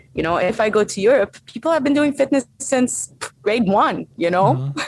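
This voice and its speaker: A woman with an Arabic accent speaks at a fairly high pitch. Her pitch swings very widely at a moderate pace. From Saudi Arabia (Egyptian family). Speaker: strength and conditioning coach. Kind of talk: interview conversation.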